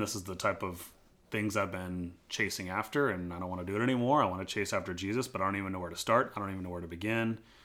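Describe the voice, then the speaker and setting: On a very clean recording with a silent background, a man with an American accent speaks very fast at a fairly low pitch in a bright, sharp tone. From US, military family moving around. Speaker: pastor and podcast host. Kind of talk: personal testimony interview.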